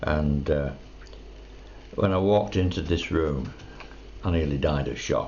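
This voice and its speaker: A man with a very deep, low voice speaks at a fairly slow pace, leaving long, frequent pauses. Audible room echo and noticeable background noise come through. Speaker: retired man telling life story. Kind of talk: personal storytelling monologue. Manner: halting.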